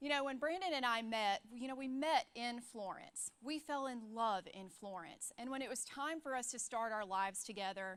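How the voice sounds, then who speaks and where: A woman with a Southern US accent speaks at a high pitch and a moderate pace. Her intonation is lively, and she hardly pauses at all. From US South, Alabama. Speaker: church staff speaker. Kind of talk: sermon.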